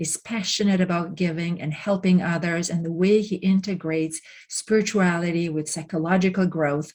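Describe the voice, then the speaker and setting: Recorded very cleanly against a silent background, a woman speaks at a fairly low pitch with fairly even intonation, her voice somewhat breathy with a dark, mellow tone. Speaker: podcast host. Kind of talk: interview questions.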